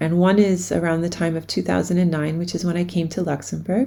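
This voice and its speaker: Moving at a fairly quick pace, a woman speaks with a fairly low pitch. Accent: German. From US, New York City. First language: German. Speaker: education researcher. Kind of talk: recorded academic presentation.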